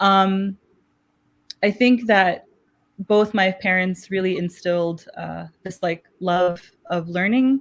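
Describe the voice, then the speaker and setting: A very slow woman with a Pakistani accent, medium pitch, fairly even intonation and long, frequent pauses. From Chicago, US (born in Pakistan). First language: Urdu. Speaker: math educator. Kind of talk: interview.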